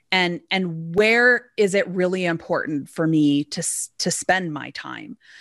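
A woman with a Canadian accent and an ordinary speaking voice, medium in pitch, with lively intonation, in a dry, close, very clean recording with no echo and a silent background. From Alberta, Canada. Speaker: business owner. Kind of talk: interview.

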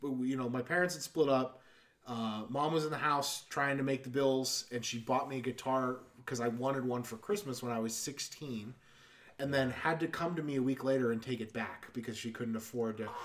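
Over noticeable background noise, a man speaks at medium pitch and a moderate pace with fairly even intonation. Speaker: podcast host. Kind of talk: casual banter podcast.

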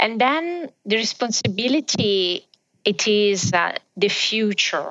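With an Italian accent, a woman speaks at a very slow pace, her pitch swinging very widely while her loudness stays very even. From southern Italy. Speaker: business executive. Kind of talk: interview.

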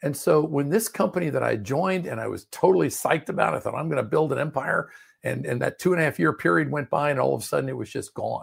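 A man with an American accent rushes along at a very fast pace with hardly any pauses. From Maryland, US (Prince George's County, DC suburbs). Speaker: business coach. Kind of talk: interview.

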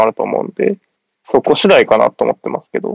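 The sound is dry and close, without any echo. A man races through his words at a very fast pace. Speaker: basketball fan guest. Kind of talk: casual chat.

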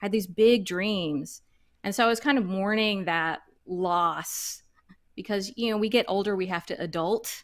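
In an American accent, a woman with an unremarkable speaking voice talks at a moderate pace and medium pitch, with ordinary pitch variation, on a very clean recording with a silent background. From US South, suburban Dallas, Texas. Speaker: backyard chicken keeper and online educator. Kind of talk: interview.

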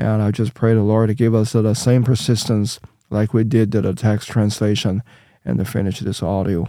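A dark, mellow tone with a Chinese accent. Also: man. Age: 50s. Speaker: Bible translator and church minister. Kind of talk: casual interview. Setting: studio. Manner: halting, searching for words.

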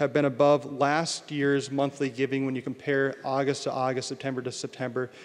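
An ordinary speaking voice. The pace is moderate. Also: man. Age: 30s. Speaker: parish priest. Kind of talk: annual parish update address. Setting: church.

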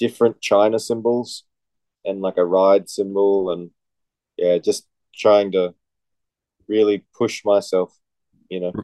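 Recorded with a dry, close sound and no echo, a man speaks fairly slowly in a fairly low voice with a dark, mellow tone. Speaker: metal musician. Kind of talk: casual chat.

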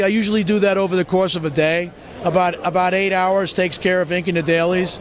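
A man's voice amid noticeable background noise. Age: 50s. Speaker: comic book artist. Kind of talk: interview. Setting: comic convention.

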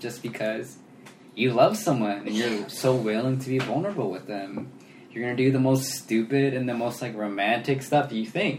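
Speaking at a moderate pace with medium pitch, a man talks against noticeable background noise. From Sacramento, California. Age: 20s. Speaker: podcast co-host. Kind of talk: casual chat.

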